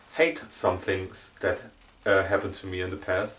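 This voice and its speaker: A man's fairly low voice with a German accent. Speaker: YouTuber. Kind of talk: casual vlog monologue. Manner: halting.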